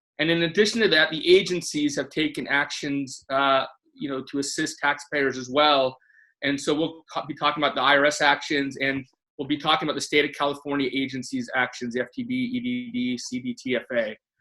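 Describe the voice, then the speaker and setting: With a bright, sharp tone and fairly high pitch, a man talks at a fairly quick pace with ordinary pitch variation. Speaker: tax attorney and webinar moderator. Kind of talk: webinar presentation. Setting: online webinar. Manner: fast.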